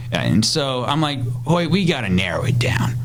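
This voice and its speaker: Speaking at a moderate pace with an American accent, a man uses a medium pitch and ordinary pitch variation. Audible room echo and noticeable background noise fill the recording. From Iowa, US Midwest. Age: 20s. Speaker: teacher, podcast co-host. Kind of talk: casual chat.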